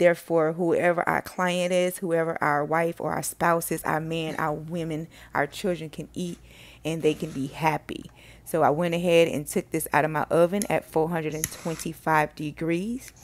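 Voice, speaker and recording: Monotone, flat delivery at a moderate pace in a very clean recording with a silent background. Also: woman, fairly low pitch for a woman. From Miami, Florida (Carol City, Miami-Dade). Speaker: cooking channel host, chef. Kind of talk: cooking tutorial. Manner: casual, impromptu.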